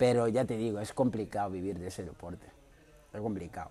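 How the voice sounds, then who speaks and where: A man talks at a fairly quick pace in a fairly low pitch, his intonation fairly even. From Mauritania. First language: not Spanish (speaking Spanish). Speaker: martial arts fighter. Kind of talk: interview.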